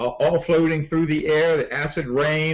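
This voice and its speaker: Fairly high male speech in a plain, everyday voice, moderately paced, with ordinary pitch variation. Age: 60s. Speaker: supplement advisor in a support group call. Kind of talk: informal talk on a group call. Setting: group phone call. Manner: conversational with many fillers.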